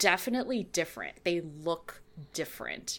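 In a very clean recording with a silent background, a woman with an American accent speaks at a medium pitch. She has a normal speaking voice and lively intonation. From California. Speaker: podcaster and writer. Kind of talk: casual chat.

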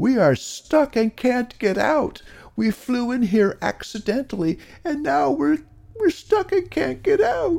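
Man in a put-on character voice, extremely high-pitched, with vocal fry, a slightly mellow tone, lively intonation, and a fairly slow pace

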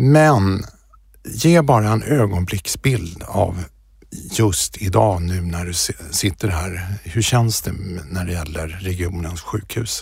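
Very slow and somewhat breathy, a man speaks in a very deep, low pitch with lively intonation. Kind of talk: interview. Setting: podcast studio.

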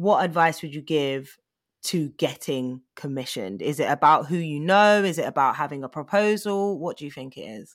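A London accent at a moderate pace, with big swings in loudness, on a very clean recording with a silent background. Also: woman, very deep, low pitch for a woman. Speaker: TV and radio presenter. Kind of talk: casual interview.

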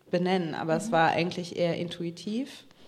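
Audible room echo surrounds a woman talking at a moderate pace with a fairly low pitch. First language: bilingual German and American English (speaking German). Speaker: author and journalist. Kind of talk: panel discussion. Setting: stage with audience.

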